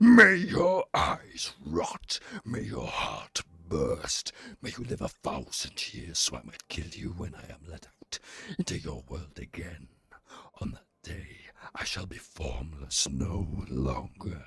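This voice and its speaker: A man's bellowing put-on character voice, very deep and low, at a fairly slow pace. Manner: bellowing, menacing.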